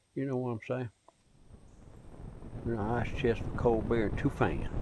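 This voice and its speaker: With a Southern US accent, a man speaks at medium pitch in a dark, mellow tone and a monotone, flat intonation. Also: moderate pace. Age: 70s. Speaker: outdoorsman vlogger. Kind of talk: casual monologue.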